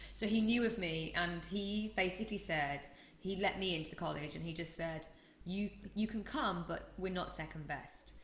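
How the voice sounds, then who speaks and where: With a Yorkshire accent, a woman speaks at a fairly low pitch with ordinary pitch variation, and audible room echo surrounds her voice. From Yorkshire, northern England. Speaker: choreographer. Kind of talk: interview. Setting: podcast.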